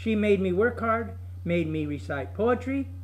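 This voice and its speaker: A man speaks at a moderate pace with audible room echo and noticeable noise behind him. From California (Bay Area), born in Colorado. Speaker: retired teacher and former boxer. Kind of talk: personal life story testimony. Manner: conversational, with self-corrections.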